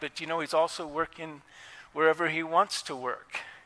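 A sharp, bright tone comes through at a moderate pace. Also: man. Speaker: pastor. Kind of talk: sermon. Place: church.

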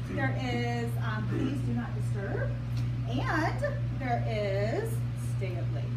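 A woman speaks with long, frequent pauses. Loud background noise runs behind her. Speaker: sales consultant hosting a party. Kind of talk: sales presentation. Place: hall. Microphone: camera far.

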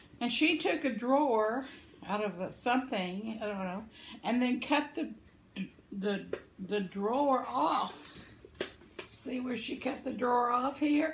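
A woman with a high pitch and warm tone speaks at a very slow pace with lively intonation and long, frequent pauses. Audible room echo and light background noise are present. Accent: American. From Arkansas, US South. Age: 70s. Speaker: vlogger, crafter. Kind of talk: elder life story, reminiscing about childhood (ditch, boat play) in a folksy tone. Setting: video vlog, home. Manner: warm, chatty, homespun, laughs often, meandering; cheerful, rambling. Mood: warm, cheerful. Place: home room. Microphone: phone near.

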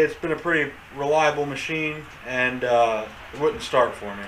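A man speaks with ordinary pitch variation amid light background noise. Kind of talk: casual vlog chat. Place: garage. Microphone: camera far.

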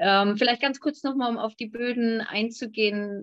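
With an ordinary speaking voice, a woman talks at a moderate pace and a fairly high pitch with ordinary pitch variation, the sound dry with no echo and the background quiet. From Hamburg, Germany. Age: young. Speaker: winemaker; guest. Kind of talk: panel discussion. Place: home room. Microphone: video call.

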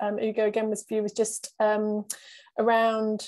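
A woman's fairly high voice with a dark, mellow tone, set against a quiet background. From England. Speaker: webinar host, repair cafe organiser; webinar moderator. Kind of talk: webinar moderation. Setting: video call. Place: home room. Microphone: earbuds.

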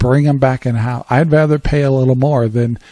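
A man speaks with a dark, mellow tone. The sound is dry with no echo. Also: quiet background. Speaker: radio show host. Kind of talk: talk radio monologue commentary. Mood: calm, reflective opinion.

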